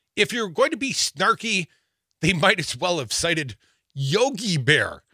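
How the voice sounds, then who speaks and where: A man with a bright, sharp tone and vocal fry makes very wide pitch swings at a moderate pace. The sound is dry and close with no echo, in a very clean recording with a silent background. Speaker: radio host. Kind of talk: live political talk radio banter. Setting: radio studio. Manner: animated, joking, laughs often.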